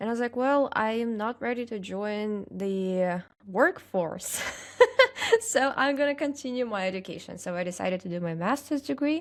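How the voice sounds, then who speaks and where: Speaking in a Russian accent, a woman has a fairly high pitch and lively intonation. Her pace is moderate. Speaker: social media content creator. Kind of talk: casual interview chat. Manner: hesitant, many fillers.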